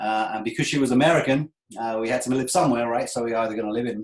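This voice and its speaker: In an English accent, a man talks at a medium pitch. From England. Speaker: webinar presenter, sponsorship sales consultant. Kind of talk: webinar presentation. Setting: online webinar with screen share.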